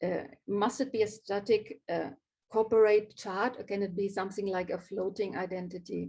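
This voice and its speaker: At a moderate pace, a woman speaks with medium pitch, a dark, mellow tone and fairly even intonation. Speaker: graphic designer. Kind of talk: live talk presenting own work. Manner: hesitant, many fillers.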